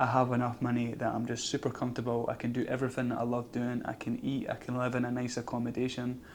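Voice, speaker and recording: In a monotone, flat intonation, a man talks at a very fast pace. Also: medium pitch for a man, hardly any pauses. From Scotland. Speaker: vlogger. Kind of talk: casual vlog monologue. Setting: outdoors.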